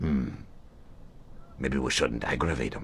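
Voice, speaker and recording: A raspy, put-on character voice speaks at a moderate pace. Background noise is clearly audible. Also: man, very deep, low pitch for a man. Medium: video game. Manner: wheedling, sly.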